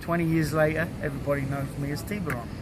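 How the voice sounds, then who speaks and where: Heard through noticeable background noise and audible room echo, a man with a British accent speaks at a fairly high pitch. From UK. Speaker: long-distance swimmer. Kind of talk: casual interview.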